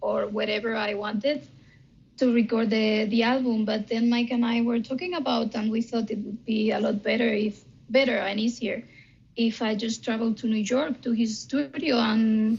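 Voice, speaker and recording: A woman's fairly high voice with a Spanish accent, at a moderate pace and with fairly even intonation. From Spain. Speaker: band singer. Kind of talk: interview. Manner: hesitant, many fillers.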